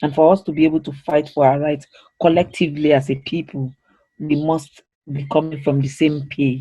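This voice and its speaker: At a fairly quick pace, a man talks in a fairly high pitch with a dark, mellow, somewhat breathy tone and a monotone, flat intonation. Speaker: training facilitator. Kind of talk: interactive training session. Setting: online video call.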